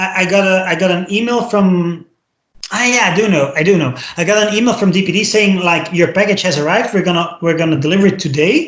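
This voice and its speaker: A man's high pitch with ordinary pitch variation, a Flemish accent, very even loudness and a very fast pace. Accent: Belgian (Flemish) English. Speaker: podcast co-host. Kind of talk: casual chat. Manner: halting, many fillers and repetitions.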